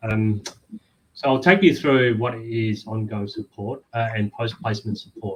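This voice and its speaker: A man speaks at a medium pitch and a moderate pace. His intonation is fairly even. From Vietnam, raised in Australia. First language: Vietnamese. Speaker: employment support worker. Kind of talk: webinar presentation.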